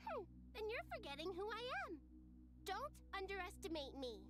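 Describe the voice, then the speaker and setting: An energetic, put-on character voice at an extremely high pitch and fairly quick pace, over loud music in the background. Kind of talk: game voice acting. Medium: video game. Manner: lively, energetic.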